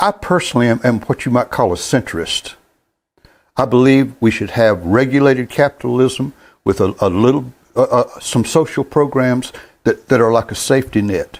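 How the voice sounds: A man speaks at a moderate pace with medium pitch, ordinary pitch variation and a slightly mellow tone.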